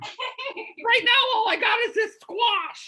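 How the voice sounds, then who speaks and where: In a put-on character voice, a woman talks at an extremely high pitch and a very slow pace. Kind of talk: comic talk show hosting. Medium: game stream. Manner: camp, brassy, gushing.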